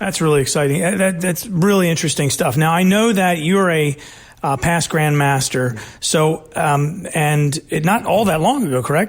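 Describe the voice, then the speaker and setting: In a normal speaking voice, a man with a fairly high pitch talks at a moderate pace with ordinary pitch variation. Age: 40s. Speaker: podcast host. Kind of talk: interview.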